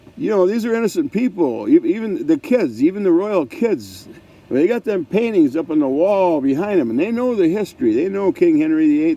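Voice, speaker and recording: Over noticeable background noise, a man with a high pitch talks at a fairly quick pace, hardly pausing, his pitch swinging very widely. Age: 70s. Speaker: vlogger with ALS. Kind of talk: casual monologue. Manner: halting.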